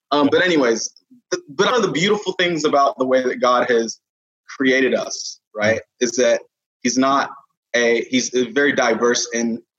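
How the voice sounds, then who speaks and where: In a normal speaking voice with an American accent, this speaker talks at a moderate pace with lively intonation and very even loudness. The sound is dry and close, with no echo. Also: man, fairly high pitch for a man. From Nigerian American, born UK, raised Katy Texas.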